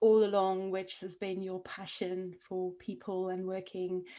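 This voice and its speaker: A woman's medium-pitched voice with a South African accent. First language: Afrikaans. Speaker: podcast host, coach. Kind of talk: interview.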